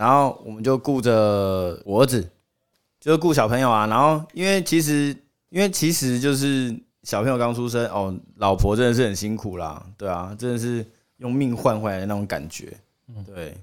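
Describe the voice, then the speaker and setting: In a very clean recording with a silent background, a man speaks in a normal speaking voice at medium pitch. His pace is moderate and his intonation lively. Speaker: podcast guest, old school friend of hosts. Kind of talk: casual chat.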